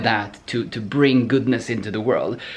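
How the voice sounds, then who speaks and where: Speaking with a non-native accent, a man has a somewhat breathy voice. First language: not English. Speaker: programming educator answering viewer questions. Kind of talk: Q&A video answer, casual monologue. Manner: halting, many repetitions and fillers.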